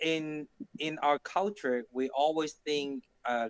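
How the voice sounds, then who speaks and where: Someone with a Cantonese accent speaks with ordinary pitch variation in a dry, close sound with no echo. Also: man. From Hong Kong. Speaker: podcast co-host. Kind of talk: casual chat.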